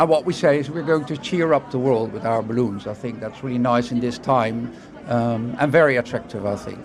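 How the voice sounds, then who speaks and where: Over crowd noise in the background, a man talks at a medium pitch with ordinary rise and fall. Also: fairly quick pace. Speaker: TV production executive. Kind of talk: interview at a trade event.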